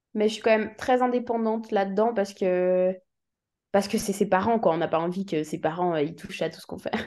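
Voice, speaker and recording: This is an unremarkable speaking voice moving at a fairly quick pace, with big swings in loudness. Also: woman, medium pitch for a woman, ordinary pitch variation. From Switzerland. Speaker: musician. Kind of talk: interview.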